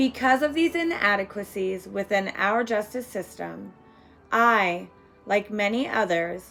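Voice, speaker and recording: Music plays behind a woman speaking at a medium pitch. Her intonation is lively and her pace fairly slow. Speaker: domestic violence survivor. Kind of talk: victim impact statement read aloud.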